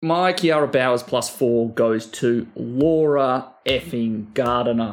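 A man with an Australian accent talks at a very slow pace and medium pitch, keeping ordinary pitch variation and very even loudness. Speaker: fantasy sports podcast co-host. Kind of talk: casual chat.

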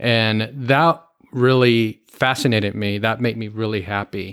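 An American-accented man has an unremarkable speaking voice at medium pitch. He talks at a fairly slow pace on a very clean recording with a silent background. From Miami, Florida, US. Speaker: airline pilot. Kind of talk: interview.

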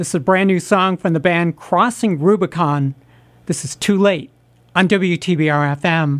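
A woman speaks at a fairly slow pace with a fairly low pitch and ordinary pitch variation. It is an ordinary speaking voice. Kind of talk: radio DJ patter: back-announcing tracks, music news chat, station ID and sign-off. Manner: relaxed, warm, conversational, chatty, with easy station-host cheer; smooth, steady, unhurried, brisk teasers before breaks.

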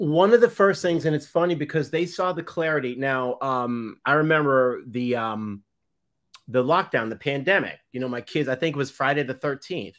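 Lively intonation and a Boston accent come through at a moderate pace in a very clean recording with a silent background. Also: man, fairly high pitch for a man. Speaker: photographer. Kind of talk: casual chat. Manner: halting.

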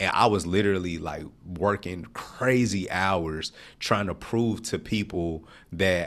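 A man with an American accent speaks at a fairly slow pace in a fairly low pitch, with lively intonation. He has an unremarkable speaking voice, on a very clean recording with a silent background. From Nashville, Tennessee (US South). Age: 40s. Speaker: entrepreneur. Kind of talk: interview.

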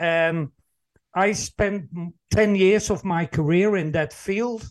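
A man with a Dutch accent, quiet background. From Netherlands. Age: 60s. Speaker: employee engagement consultant and speaker. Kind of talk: interview conversation.

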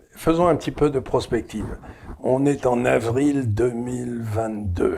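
Speaking at a very slow pace, a man uses a medium pitch with ordinary pitch variation. His tone comes across dark and mellow. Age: 70s. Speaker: interviewer, economist host. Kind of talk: interview conversation.

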